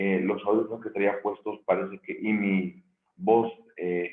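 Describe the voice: A man's fairly low, hoarse, gravelly voice at a fairly slow pace with fairly even intonation.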